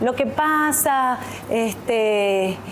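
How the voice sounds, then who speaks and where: A woman's voice over noticeable background noise. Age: 30s. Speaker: TV news presenter and journalist. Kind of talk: interview on public speaking. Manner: fluent, continuous.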